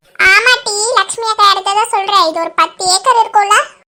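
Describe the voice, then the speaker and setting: In a cartoonish character voice, a woman speaks at an extremely high pitch with fairly even intonation and a moderate pace. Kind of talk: cartoon comedy. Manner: gossipy.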